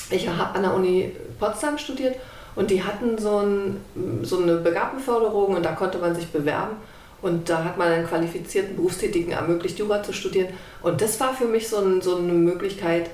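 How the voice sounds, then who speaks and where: A woman at medium pitch is heard with noticeable background noise and audible room echo. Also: ordinary pitch variation, fairly quick pace. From East Germany (GDR). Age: 50s. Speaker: podcast host, lawyer. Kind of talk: casual chat. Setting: sitting on a sofa at home.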